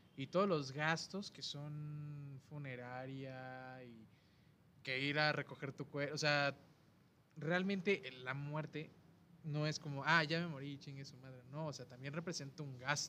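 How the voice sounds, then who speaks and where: Speaking at a fairly slow pace with a Mexican accent, a man uses a fairly high voice with a bright, sharp tone and big swings in loudness. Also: fairly even intonation. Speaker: podcast host. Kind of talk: casual chat.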